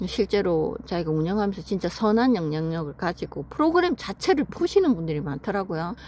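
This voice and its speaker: Delivered in a normal speaking voice, the speech runs at a fairly quick pace with lively intonation and hardly any pauses. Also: woman, medium pitch for a woman. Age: 50s. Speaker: vlogger. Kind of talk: casual personal story told to camera.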